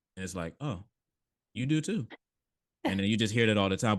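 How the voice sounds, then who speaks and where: Animated and with lively intonation, a man with an American accent talks at a fairly low pitch. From United States. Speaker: podcast host. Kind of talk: casual chat. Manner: animated, casual, many fillers.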